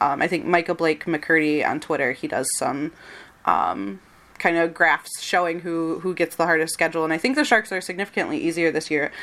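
With a Michigan accent, a woman talks at a fairly quick pace in a fairly low voice. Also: ordinary pitch variation. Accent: general American, Michigan. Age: 20s. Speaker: podcast host and site editor. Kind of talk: casual chat.

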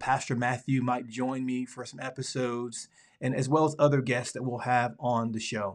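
With a Southern US accent, a man speaks at a medium pitch and moderate pace against a quiet background. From Alabama, US Deep South. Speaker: podcast host and pastor. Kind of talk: casual monologue; reading aloud.

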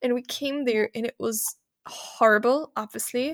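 A woman speaks with a German accent at a moderate pace. Her tone is bright and sharp, and the sound is dry and close with no echo. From Germany. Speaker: nonprofit founder and podcaster. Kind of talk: interview, casual conversation. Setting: remote podcast call. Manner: animated.

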